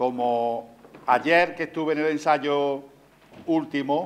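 Fairly even intonation carries a man's speech at a very slow pace. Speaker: presenter. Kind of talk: public talk to audience. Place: stage.

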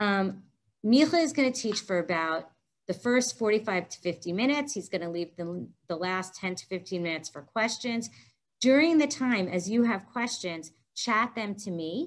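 At a moderate pace, the voice shows lively intonation and big swings in loudness. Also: woman. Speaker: session facilitator. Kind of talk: housekeeping announcements to an online audience. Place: meeting room. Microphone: headset.

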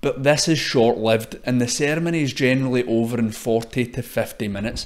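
A man's medium-pitched voice with a Scottish accent, fairly even intonation and a moderate pace. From Scotland. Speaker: podcast host. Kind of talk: scripted narration.

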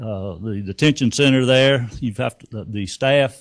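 This man talks at a moderate pace with ordinary pitch variation, recorded with a dry, close sound with no echo against a quiet background. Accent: north Georgia. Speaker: sheriff. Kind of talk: candidate forum speech. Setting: community room with audience.

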